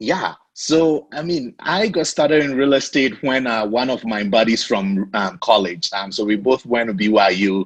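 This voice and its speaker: A man with an African accent, medium-pitched, his intonation lively and his speech hardly broken by pauses. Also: moderate pace. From Ghana. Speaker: real estate investor. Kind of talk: podcast interview.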